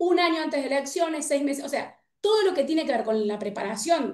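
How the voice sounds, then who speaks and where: A woman's voice with very wide pitch swings. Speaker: political scientist and researcher. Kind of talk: panel debate. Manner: fast.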